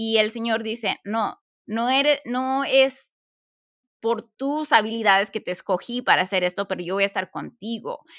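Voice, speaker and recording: Recorded very cleanly against a silent background, a woman speaks at a fairly slow pace with ordinary pitch variation. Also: fairly high pitch for a woman, dry, close sound with no echo. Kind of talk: casual chat.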